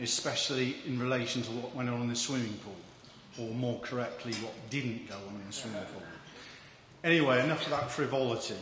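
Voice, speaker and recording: A man with an English accent talks at a fairly quick pace in a medium pitch with fairly even intonation, amid noticeable background noise and audible room echo. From England. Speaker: agricultural economist. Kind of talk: speech.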